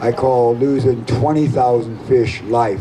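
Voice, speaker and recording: Under noticeable background noise, a man with an American accent speaks at a very slow pace and medium pitch with fairly even intonation. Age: 60s. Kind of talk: rally speech.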